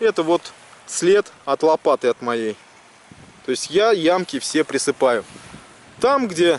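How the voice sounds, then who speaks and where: A very slow pace with long, frequent pauses and very wide pitch swings, dry with no echo, over light background noise. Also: man. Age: 30s. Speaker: metal detecting video blogger. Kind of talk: tutorial. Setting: outdoors on a beach. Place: beach. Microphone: phone near.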